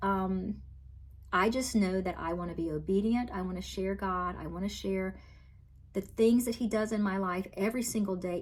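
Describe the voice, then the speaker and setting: A woman speaks with a Southern US accent at a medium pitch. Her voice is somewhat breathy, with ordinary pitch variation and a moderate pace. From US South (Virginia, then Florida). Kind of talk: testimony. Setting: talking to camera.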